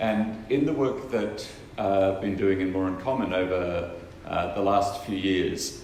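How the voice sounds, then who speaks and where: A man with an Australian accent at a fairly slow pace, with ordinary pitch variation and noticeable background noise. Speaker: non-profit co-founder and researcher. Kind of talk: conference keynote speech.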